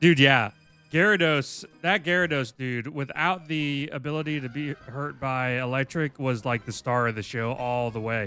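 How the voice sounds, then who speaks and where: Music plays in the background as a man talks at a moderate pace in an American accent. His pitch is fairly high, with ordinary pitch variation. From US South, Florida. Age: 30s. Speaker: video game streamer. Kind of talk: casual live stream chat. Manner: halting, many fillers.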